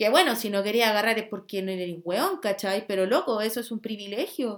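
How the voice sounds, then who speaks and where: A woman with a Chilean accent, fairly high in pitch, at a fairly quick pace. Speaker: podcast host. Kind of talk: casual monologue. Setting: home bedroom. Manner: animated.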